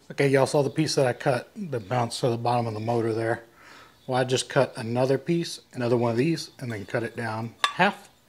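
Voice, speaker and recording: With an American accent, a man speaks at a fairly quick pace in a somewhat breathy voice. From Texas. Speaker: furniture maker. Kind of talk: DIY tutorial. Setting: workshop. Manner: casual.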